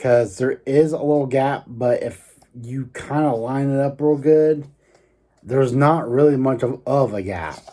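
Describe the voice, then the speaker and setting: Dark and mellow in tone, a man speaks at a medium pitch with ordinary pitch variation. His pace is fairly slow. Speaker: hobbyist maker / YouTuber. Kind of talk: casual tutorial vlog. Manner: halting, filler-heavy.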